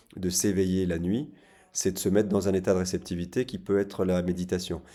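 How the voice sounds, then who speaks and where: A man speaks at a fairly quick pace in a very deep, low pitch, his tone dark and mellow and his intonation fairly even. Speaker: psychotherapist. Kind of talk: casual talk to camera. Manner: fast; halting, repeated words.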